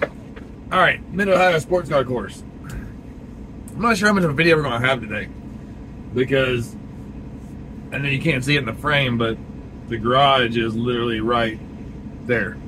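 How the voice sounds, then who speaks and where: Amid noticeable background noise and audible room echo, a man at medium pitch speaks at a moderate pace with ordinary pitch variation and long, frequent pauses. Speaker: video blogger. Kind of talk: vlog narration.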